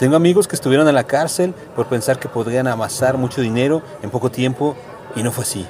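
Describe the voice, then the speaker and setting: Through noticeable background noise, a man at a medium pitch talks at a very fast pace. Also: ordinary pitch variation. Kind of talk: poetry reading, spoken word poem. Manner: anaphoric, repeated refrain, rhetorical questions, measured delivery.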